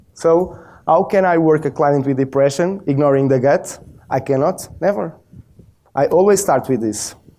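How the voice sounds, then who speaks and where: A man's fairly high voice with a dark, mellow tone, ordinary pitch variation and a Portuguese accent. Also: moderate pace. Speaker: biofeedback practitioner. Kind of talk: presentation.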